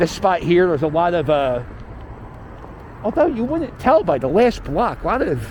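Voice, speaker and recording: In an American accent, a man talks in a high voice with very wide pitch swings. Noticeable background noise runs beneath him. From Philadelphia. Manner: tour-guide style, casual.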